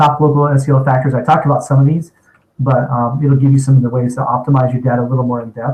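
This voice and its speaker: A man's somewhat breathy, medium-pitched voice at a very fast pace, monotone and flat in intonation. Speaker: internet marketing company owner. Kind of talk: webinar presentation.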